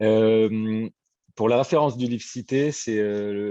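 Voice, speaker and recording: Over a quiet background, a man's dark, mellow tone comes through with ordinary pitch variation in a dry, close sound with no echo. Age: 40s. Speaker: print business owner. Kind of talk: testimony.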